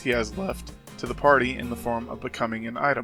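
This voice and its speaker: Music plays in the background as a man speaks. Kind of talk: video essay narration.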